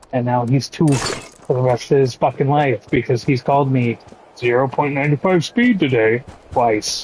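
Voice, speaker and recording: The intonation is fairly even and the loudness very even. Background noise is noticeable. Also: man, medium pitch for a man. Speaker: video game streamer. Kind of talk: casual chat. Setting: live stream. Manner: slow.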